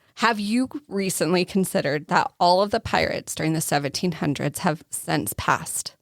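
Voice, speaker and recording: With an Arizona accent, a woman speaks at a fairly low pitch with ordinary pitch variation and hardly any pauses. The recording is very clean, with a silent background and a dry, close sound with no echo. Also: moderate pace. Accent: natural regional accent, Arizona. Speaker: podcast co-host.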